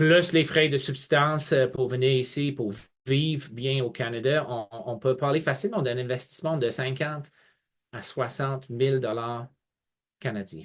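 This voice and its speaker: Speaking at a fairly slow pace with ordinary pitch variation, this voice leaves long, frequent pauses against a quiet background. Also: man, medium pitch for a man. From England. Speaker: college representative. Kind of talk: webinar presentation. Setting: online video webinar. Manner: hesitant, many fillers and repetitions.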